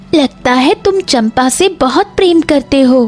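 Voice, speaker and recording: A female-sounding cartoonish character voice with a high pitch speaks at a fairly slow pace as clear music plays in the background. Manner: soft, gentle.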